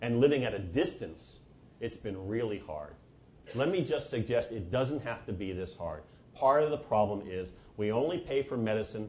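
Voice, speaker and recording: In an American accent, a somewhat breathy man speaks at a medium pitch amid audible room echo. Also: lively intonation, moderate pace. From New Jersey, US. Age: 60s. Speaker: physician and lecturer. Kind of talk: lecture.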